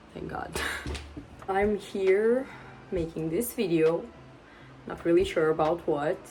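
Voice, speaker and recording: With a Portuguese accent, a woman talks at a very slow pace with long, frequent pauses and big swings in loudness, over noticeable background noise. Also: ordinary pitch variation. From Portugal. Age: 20s. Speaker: booktuber. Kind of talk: casual vlog talk to camera. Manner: chatty, rambling with fillers.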